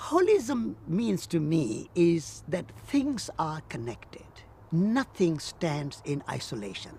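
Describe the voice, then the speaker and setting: A man delivers his words at a very slow pace, with noticeable noise in the background. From India. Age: 70s. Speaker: peace activist and author. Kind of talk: interview.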